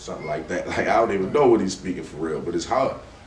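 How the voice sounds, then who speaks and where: There is noticeable background noise. The speaker is a man. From Westside of Baltimore. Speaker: rap artist. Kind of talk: podcast interview answer. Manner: casual, relaxed.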